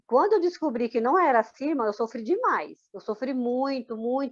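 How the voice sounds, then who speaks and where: A high-pitched woman's voice at a fairly quick pace. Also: dry, close sound with no echo. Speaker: former Jehovah's Witness. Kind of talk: testimony interview. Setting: recorded interview.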